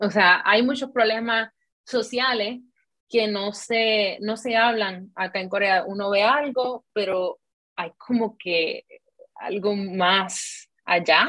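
This woman speaks very slowly in a fairly high voice. Her pitch rises and falls in an ordinary way. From Puerto Rico. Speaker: content creator. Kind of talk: interview.

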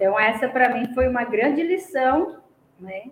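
Very wide pitch swings at a fairly slow pace. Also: woman. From Brazil, Paraná. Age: 50s. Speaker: retired student of cooking course. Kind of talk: testimony.

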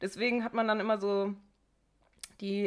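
A woman speaks at a medium pitch in an ordinary speaking voice. Her pace is fairly quick and her intonation fairly even. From Bochum, Ruhr area, Germany. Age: 20s. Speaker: podcast co-host, teacher-training student. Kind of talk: casual chat.

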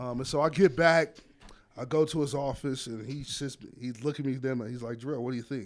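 Fairly quick speech with ordinary pitch variation, in a plain, everyday voice. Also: man, medium pitch for a man. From Las Vegas, Nevada. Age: 30s. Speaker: head football coach. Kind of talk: casual interview. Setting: coach's office.

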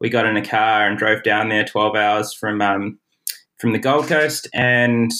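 A man speaks with a New Zealand accent. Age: 30s. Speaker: pro triathlete. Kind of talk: interview. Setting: remote call.

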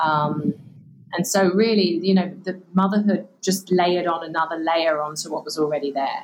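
Someone with an English accent talks at a moderate pace with fairly even intonation. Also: woman, fairly low pitch for a woman. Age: 40s. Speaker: author and purpose coach. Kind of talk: interview.

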